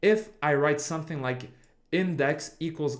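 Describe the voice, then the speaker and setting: A man speaks at a fairly high pitch with ordinary pitch variation. The recording is very clean, with a silent background. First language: not English. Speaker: game development streamer. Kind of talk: livestream coding tutorial. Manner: halting, with many restarts and fillers.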